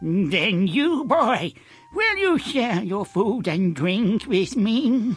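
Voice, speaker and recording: Using a put-on character voice at a high pitch, a man speaks at a very slow pace with very wide pitch swings as faint music plays in the background. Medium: video game.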